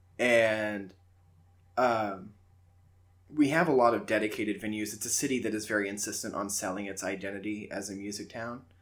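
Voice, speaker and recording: Amid audible room echo, a man with a fairly low pitch speaks at a fairly quick pace with fairly even intonation, big swings in loudness, and long, frequent pauses. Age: 20s. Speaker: podcast host. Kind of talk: casual chat.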